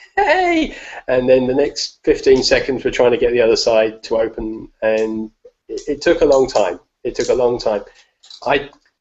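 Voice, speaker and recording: A man with an English accent at a moderate pace. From England. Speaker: escapologist and strongman. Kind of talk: live video Q&A.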